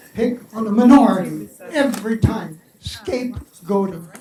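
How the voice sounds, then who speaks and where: Pitched high, a man speaks at a very slow pace with fairly even intonation. Noticeable background noise runs underneath. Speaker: Holocaust survivor speaker. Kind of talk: Q&A after a public talk. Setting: library event with audience. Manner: casual, joking.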